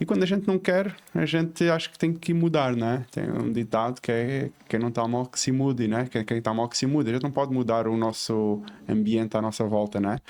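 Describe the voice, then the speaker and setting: Speaking at a fairly quick pace, a man with a European Portuguese accent talks at a medium pitch. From southern Portugal, Faro, Algarve. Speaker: civil engineer and entrepreneur. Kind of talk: podcast interview. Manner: hesitant with many fillers.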